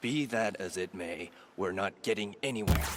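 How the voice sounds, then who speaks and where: Sound effects play in the background behind a put-on character voice. The pace is moderate. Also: man, fairly low pitch for a man. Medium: video game. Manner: dry, matter-of-fact.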